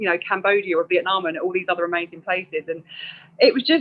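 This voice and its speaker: Talking at a fairly quick pace, a woman at a medium pitch speaks in a South East London accent. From South East London, England. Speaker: secondary school English teacher. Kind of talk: interview conversation.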